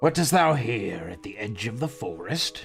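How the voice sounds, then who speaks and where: Over clear background music, a man does a put-on character voice, gravelly and at medium pitch, at a moderate pace. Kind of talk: archaic.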